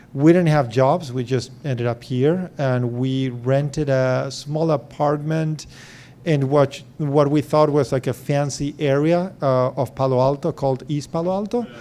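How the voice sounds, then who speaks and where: In an Argentine accent, a man speaks fairly slowly at a fairly high pitch, with ordinary pitch variation. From Argentina. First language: Spanish. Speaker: venture capital investor. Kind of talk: fireside chat talk to founders.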